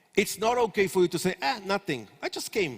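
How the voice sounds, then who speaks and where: With an Israeli accent, a man speaks in an animated tone at a high pitch, the sound dry and close with no echo. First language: Hebrew. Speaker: startup consultant. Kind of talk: conference lecture. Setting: stage with audience.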